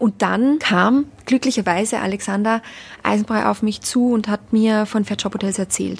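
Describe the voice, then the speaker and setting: Somewhat breathy and fairly high-pitched, a woman with an Austrian accent speaks at a moderate pace with ordinary pitch variation. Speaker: hospitality brand ambassador. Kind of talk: interview. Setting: hotel in Berlin.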